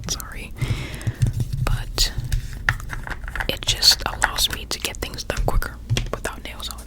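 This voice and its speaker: Noticeable background noise is present. Over it, a woman whispers. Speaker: ASMR creator. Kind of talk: ASMR makeup tutorial ramble. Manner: whispered, soft-spoken.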